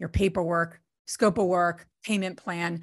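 With an American accent, a woman speaks in a plain, everyday voice at a fairly low pitch. She talks at a fairly slow pace against a quiet background. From New Jersey. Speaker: real estate investor. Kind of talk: guest talk on live video call.

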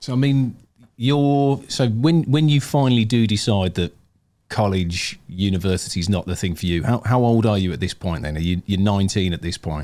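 With a British accent, a man talks at a moderate pace and with lively intonation. The recording is very clean, with a silent background. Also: fairly low pitch for a man. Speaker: podcast co-host. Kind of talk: casual interview.

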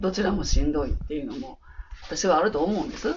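Through noticeable background noise, a woman's voice moves in very wide pitch swings. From Osaka, Ikuno ward. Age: 60s. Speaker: childcare worker. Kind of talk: interview.

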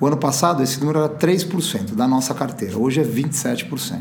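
Noticeable background noise plus audible room echo. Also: man. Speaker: insurance company CEO. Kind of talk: interview. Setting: podcast recording. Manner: hesitant, with filler words.

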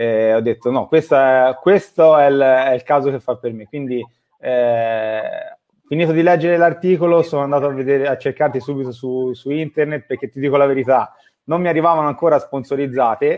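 Here a man talks in an ordinary speaking voice, with ordinary pitch variation and a fairly quick pace. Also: fairly high pitch for a man. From Tuscany, Italy. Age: 30s. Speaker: company manager and online business student. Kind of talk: interview on a live stream.

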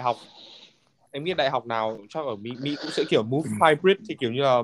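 A man with an ordinary speaking voice, fairly high pitch, lively intonation and a fairly quick pace, in a dry, close sound with no echo. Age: 20s. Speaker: finance graduate working in the US. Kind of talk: casual chat.

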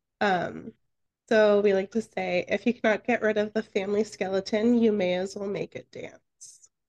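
This is an ordinary speaking voice at a moderate pace. The sound is dry and close, with no echo. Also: woman, medium pitch for a woman, fairly even intonation. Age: 30s. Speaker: podcast co-host. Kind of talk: casual interview.

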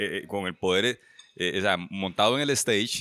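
A man with a Costa Rican accent speaks in a bright, sharp tone, captured in a very clean recording with a silent background and a dry, close sound with no echo. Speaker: writer. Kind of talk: casual chat. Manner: stammering.

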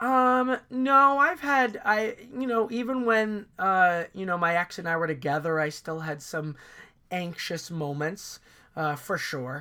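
Heard in a very clean recording with a silent background, a man uses a raised, projected voice with a high pitch, a bright, sharp tone, very wide pitch swings, and a fairly slow pace. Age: 30s. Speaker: actor and author. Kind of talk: casual chat.

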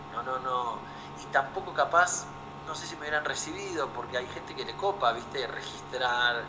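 A man at a moderate pace with big swings in loudness, audible room echo and noticeable background noise. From Buenos Aires, Argentina. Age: 40s. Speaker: documentary photographer. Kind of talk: interview.

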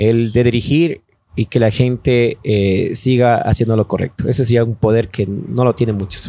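The man's tone is dark and mellow, and his intonation stays fairly even. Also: medium pitch for a man, moderate pace. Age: 30s. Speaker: radio station owner. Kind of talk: casual chat.

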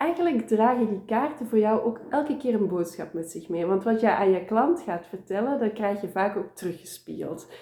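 Woman with a dark, mellow tone, fairly high pitch and lively intonation. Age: 30s. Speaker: tarot reader. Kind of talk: interview.

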